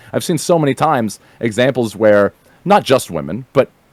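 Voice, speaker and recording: A man speaks in an animated tone with very wide pitch swings, recorded with a dry, close sound and no echo. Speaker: online streamer. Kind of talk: casual chat. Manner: fast.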